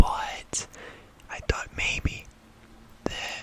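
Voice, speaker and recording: Whispering over noticeable background noise. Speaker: ASMR YouTuber and horror story reader. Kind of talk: ASMR scary story reading, casual talk to camera between stories. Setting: recorded at home with rain audible in background. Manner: casual chatty intro and commentary with filler words.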